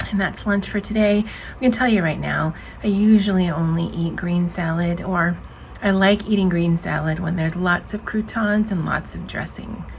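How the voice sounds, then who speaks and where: Against noticeable background noise, a woman talks at a moderate pace with a fairly low pitch and fairly even intonation. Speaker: lifestyle vlogger. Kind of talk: casual vlog talk. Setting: office at work. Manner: casual, hesitant with fillers.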